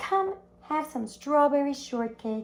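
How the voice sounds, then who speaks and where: Fairly slow, high-pitched put-on character voice from a woman. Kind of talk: read-aloud to children. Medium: read story.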